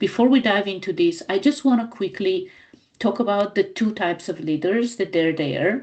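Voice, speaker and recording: With a non-native accent, a woman speaks using lively intonation. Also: medium pitch for a woman, moderate pace. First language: not English. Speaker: business coach. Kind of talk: training talk. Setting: recorded live for club members.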